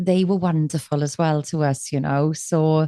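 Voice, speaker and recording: In a South Wales accent, a woman speaks at a very deep, low pitch, the sound dry and close with no echo. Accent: South Wales Valleys. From Wales, Aberdare. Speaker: musician and life coach. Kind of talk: podcast interview. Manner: energetic.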